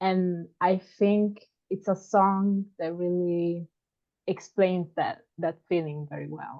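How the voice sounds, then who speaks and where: A woman at a very slow pace in a monotone, flat intonation. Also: medium pitch for a woman, big swings in loudness. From Italy, Sardinia. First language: Italian. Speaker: podcast listener. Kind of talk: casual chat. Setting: video call. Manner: halting.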